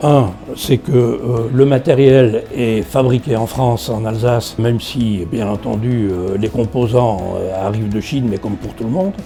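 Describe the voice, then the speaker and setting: With music in the background, the speaker talks at a fairly slow pace with ordinary pitch variation. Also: man, medium pitch for a man. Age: 70s. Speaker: retired customer giving testimonial. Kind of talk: interview testimonial. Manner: hesitant with frequent fillers.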